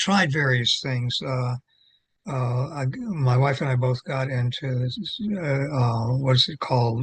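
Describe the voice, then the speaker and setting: A medium-pitched, somewhat breathy man at a fairly slow pace. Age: 80s+. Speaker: retired religion professor and clergy. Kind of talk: interview conversation. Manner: halting, many repetitions.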